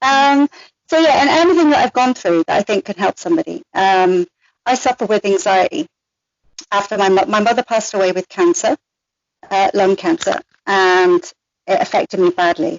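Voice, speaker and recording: A woman's medium-pitched voice with very wide pitch swings, very even loudness and long, frequent pauses. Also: moderate pace. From Ireland. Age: 40s. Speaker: restaurant maitre d' and blogger. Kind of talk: personal interview.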